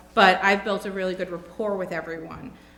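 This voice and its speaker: A woman's medium-pitched, monotone, flat voice in an American accent, with audible room echo. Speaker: job candidate interviewee. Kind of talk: job interview.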